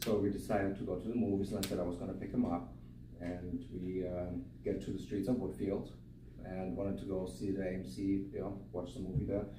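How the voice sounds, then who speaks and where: A man with a very deep, low pitch speaks at a fairly quick pace with lively intonation. Audible room echo surrounds his voice. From Germany. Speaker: eulogy speaker, friend of the deceased. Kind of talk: eulogy. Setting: memorial service.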